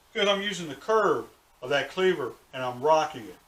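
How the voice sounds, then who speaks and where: Over noticeable background noise, a man speaks at a moderate pace in a relaxed tone with lively intonation. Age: 60s. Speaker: cooking show host. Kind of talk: tutorial. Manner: casual, relaxed.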